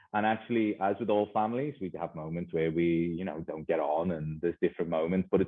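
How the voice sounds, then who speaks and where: A man with a Liverpool accent talks at a very fast pace. His pitch is very deep and low, with ordinary variation. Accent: Liverpool (Scouse). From northern England, Liverpool. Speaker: educator, school leader. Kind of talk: conference presentation.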